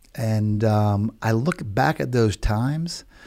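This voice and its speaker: Recorded very cleanly against a silent background, a man with an American accent speaks at a medium pitch with a dark, mellow tone. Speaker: realtor and live show host. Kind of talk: casual chat. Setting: studio. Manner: animated.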